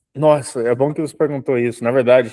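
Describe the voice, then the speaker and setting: Dry and close with no echo, this man's voice carries a dark, mellow tone. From Canada. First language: English (speaking Portuguese). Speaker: dentist. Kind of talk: casual chat.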